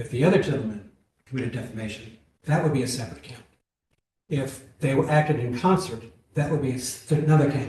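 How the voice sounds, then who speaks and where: A man's dark, mellow, somewhat breathy voice with ordinary pitch variation, long, frequent pauses and audible room echo. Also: medium pitch for a man. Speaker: appellate judge. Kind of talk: courtroom oral argument questioning.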